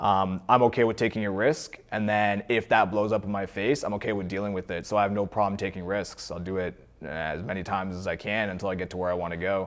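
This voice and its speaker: This man speaks at a very fast pace with hardly any pauses, in a Canadian accent. His pitch is fairly low and his intonation fairly even. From Ontario, Canada (Cornwall). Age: 20s. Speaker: entrepreneur. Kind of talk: interview. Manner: casual, conversational.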